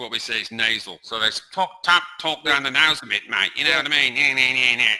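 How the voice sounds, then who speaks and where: Man with an English accent, medium pitch and ordinary pitch variation, talking at a fairly quick pace with hardly any pauses. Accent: English accent kept. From England, Blackburn (Lancashire). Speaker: English tutor. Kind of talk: casual chat.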